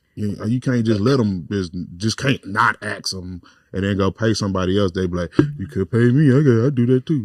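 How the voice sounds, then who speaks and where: A man's fairly low voice at a fairly quick pace with ordinary pitch variation, the sound dry and close with no echo. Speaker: podcast co-host and comedian. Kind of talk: casual chat. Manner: loud.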